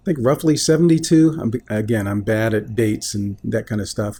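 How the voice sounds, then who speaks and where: The voice has an American accent in a very clean recording with a silent background. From US South (Columbus, Georgia). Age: 60s. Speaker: video blogger. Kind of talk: personal monologue. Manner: halting, with fillers.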